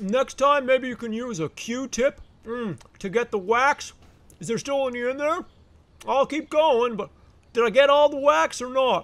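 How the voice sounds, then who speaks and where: Using a put-on character voice at an extremely high pitch, a man talks at a moderate pace with long, frequent pauses. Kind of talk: funny animal voiceover. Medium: dub.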